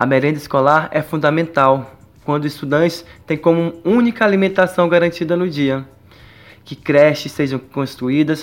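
Fairly high pitch and ordinary pitch variation from a man at a moderate pace, in a normal speaking voice. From Brazil, Pará (Castanhal). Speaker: university student, student union member. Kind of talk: radio interview.

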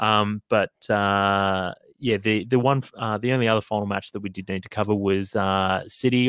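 Dry and close with no echo, in a very clean recording with a silent background, a man with an Australian accent speaks at a moderate pace in a fairly low, monotone, flat voice. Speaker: football podcast host. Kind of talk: casual chat. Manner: halting, many fillers.

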